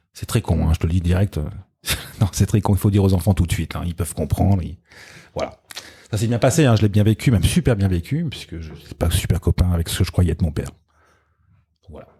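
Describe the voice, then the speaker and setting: Very fast speech in a dark, mellow, somewhat breathy tone, with long, frequent pauses, big swings in loudness and ordinary pitch variation. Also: man, very deep, low pitch for a man. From France, Rhône-Alpes (Lyon, Grenoble). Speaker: DJ. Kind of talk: casual chat.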